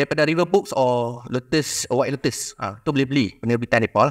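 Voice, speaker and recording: The background stays quiet as a man talks at a fairly quick pace. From Malaysia, Kedah; Malaysia. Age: young. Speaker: history society panelist; panelist. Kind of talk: public talk. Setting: museum forum with audience. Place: hall. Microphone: handheld.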